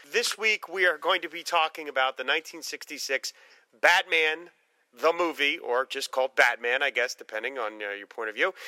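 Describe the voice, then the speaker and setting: This man's voice is bright and sharp, fairly high in pitch, with lively intonation and a fairly quick pace, recorded with a dry, close sound and no echo. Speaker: podcast host. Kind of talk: casual chat.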